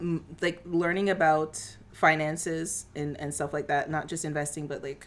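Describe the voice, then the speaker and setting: The woman's voice sits at a very deep, low pitch. She speaks in a monotone, flat intonation at a moderate pace. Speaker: podcast co-host. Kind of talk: casual chat. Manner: halting.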